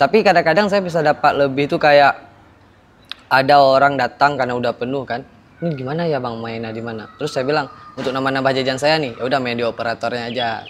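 Over light background noise, a man speaks at a very fast pace. His pitch varies in an ordinary way. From Aceh, Indonesia. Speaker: former internet cafe attendant. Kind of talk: storytelling interview. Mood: recounting ghost story. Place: garden.

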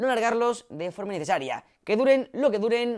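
Loud and animated, a man is speaking. His intonation is lively. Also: quiet background. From Spain. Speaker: tech YouTuber; tech youtuber. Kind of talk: vlog announcement. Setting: home studio set. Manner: loud, newscaster-like delivery. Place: home room. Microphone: new, better audio setup; lapel.

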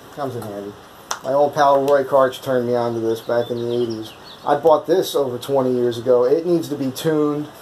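At a fairly quick pace, a man speaks with fairly even intonation over light background noise. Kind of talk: tutorial. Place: workshop.

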